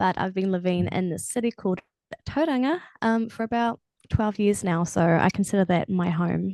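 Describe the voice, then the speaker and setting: A woman with a New Zealand accent, dark, mellow tone and moderate pace, dry, close sound with no echo and a quiet background. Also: medium pitch for a woman, ordinary pitch variation. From New Zealand, Matamata. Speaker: singer-songwriter. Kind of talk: casual chat.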